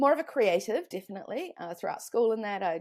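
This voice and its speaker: On a very clean recording with a silent background, a woman with a New Zealand accent speaks at a moderate pace with lively intonation. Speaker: online business consultant. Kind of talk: podcast interview.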